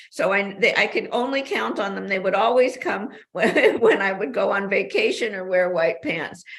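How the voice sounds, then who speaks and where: Noticeable background noise accompanies a woman with an American accent whose intonation is lively. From US West Coast, Los Angeles. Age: 80s+. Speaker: author. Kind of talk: interview. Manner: animated.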